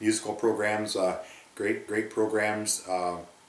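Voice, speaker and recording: A man with an Ontario accent speaks at a moderate pace and a fairly low pitch. Audible room echo and noticeable background noise surround him. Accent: rural Ontario Canadian. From Ontario, Canada (Grey County). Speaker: former farm youth club member. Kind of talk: oral history interview. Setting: recorded interview near a rural town. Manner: hesitant, many fillers.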